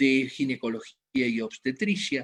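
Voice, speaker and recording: A man speaks at a moderate pace with lively intonation on a very clean recording with a silent background. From Argentina, Buenos Aires. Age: 60s. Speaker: medical doctor. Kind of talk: health lecture. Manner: halting, with frequent fillers.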